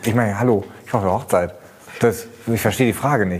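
There is noticeable background noise as a man speaks at a very fast pace with ordinary pitch variation. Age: 40s. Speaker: car journalist. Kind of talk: casual chat.

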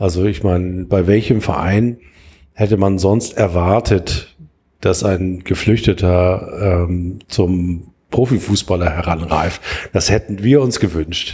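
A man speaks at a very slow pace in a very deep, low voice, with a dark, mellow, somewhat breathy tone and fairly even intonation, on a very clean recording with a silent background. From Hamburg, Germany. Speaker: football podcast host. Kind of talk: casual chat.

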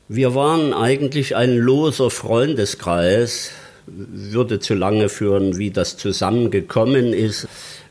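A man speaks very slowly at a medium pitch. His pitch variation is ordinary. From Saxony, Zwenkau near Leipzig. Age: 70s. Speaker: painter. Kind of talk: interview. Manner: halting.

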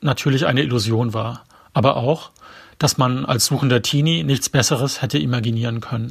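Somewhat breathy, a man talks at a moderate pace with ordinary pitch variation on a very clean recording with a silent background. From eastern Germany, later northern Bavaria. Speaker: author. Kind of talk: reading aloud.

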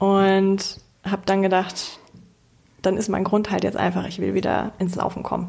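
Long, frequent pauses break up a woman's moderately paced speech. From Hamburg, northern Germany. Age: 20s. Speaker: product owner at a mobility company, amateur runner. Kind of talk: casual interview.

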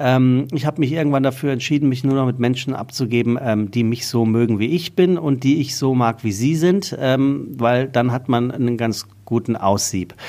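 A man with a dark, mellow tone and medium pitch speaks at a moderate pace with very even loudness, hardly any pauses and ordinary pitch variation. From Hesse, Taunus near Frankfurt. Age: 40s. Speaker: podcast host and voice-over speaker. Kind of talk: casual chat.

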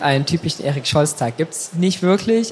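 Noticeable background noise fills the recording. Over it, a man keeps a moderate tempo. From Saxony, Germany. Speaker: fashion blogger. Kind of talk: casual interview.

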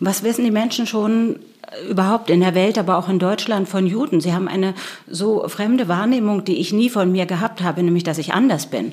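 A woman speaks with an unremarkable speaking voice at a medium pitch. Her pace is fairly quick, with ordinary pitch variation. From Germany, Berlin. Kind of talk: interview.

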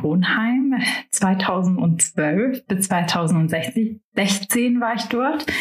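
Background noise is noticeable throughout. The pitch varies in an ordinary way. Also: woman. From Germany. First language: Albanian (speaking German). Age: 20s. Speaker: insurance broker and finance blogger. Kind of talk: interview.

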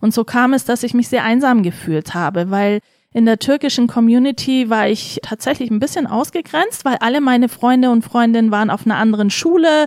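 Delivered at a fairly quick pace with ordinary pitch variation, the voice holds very even loudness in a dry, close sound with no echo. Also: woman, fairly high pitch for a woman. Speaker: politician. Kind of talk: interview. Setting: studio. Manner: animated.

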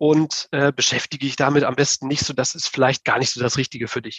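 A man's fairly high, somewhat breathy voice, recorded dry and close with no echo. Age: 30s. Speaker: stock investing blogger. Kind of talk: interview.

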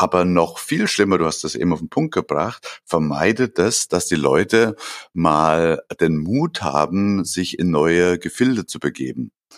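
The speech moves at a fairly slow pace with ordinary pitch variation. The sound is dry and close, with no echo. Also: man, very deep, low pitch for a man. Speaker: podcast co-host, business consultant. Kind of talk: casual chat.

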